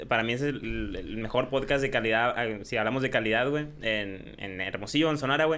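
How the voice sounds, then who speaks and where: The speaker is a man at a medium pitch, talking at a moderate pace. Noticeable background noise and audible room echo surround him. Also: ordinary pitch variation. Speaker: streamer and YouTuber. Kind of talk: casual chat. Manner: loud.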